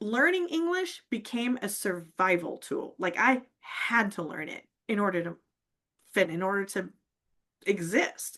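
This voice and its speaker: A woman's bright, sharp, animated voice at a fairly slow pace against a quiet background. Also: medium pitch for a woman. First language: not English. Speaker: public speaking coach. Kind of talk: casual interview chat. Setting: live stream.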